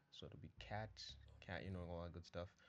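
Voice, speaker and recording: A man is speaking. Music plays in the background. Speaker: programming tutor. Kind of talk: casual coding tutorial narration. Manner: fast.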